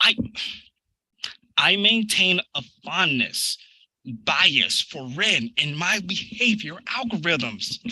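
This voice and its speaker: In a put-on character voice pitched high, a man talks at a very slow pace with long, frequent pauses. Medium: audio drama. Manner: stammering, formal robotic phrasing.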